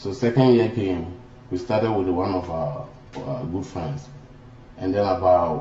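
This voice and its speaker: A man talks at a moderate pace with lively intonation, his voice carrying audible room echo. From Ghana. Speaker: former student leader. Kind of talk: interview.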